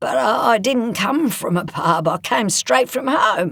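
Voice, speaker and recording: Putting on a character voice, a man speaks raspy and high-pitched at a fairly slow pace, his pitch swinging very widely. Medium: read story. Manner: gruff, laconic.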